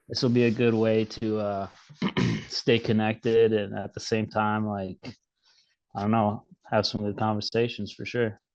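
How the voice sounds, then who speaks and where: Strong Minnesota accent from a man with fairly low pitch, monotone, flat intonation, a moderate pace and long, frequent pauses. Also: quiet background. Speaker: podcast co-host. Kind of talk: casual chat.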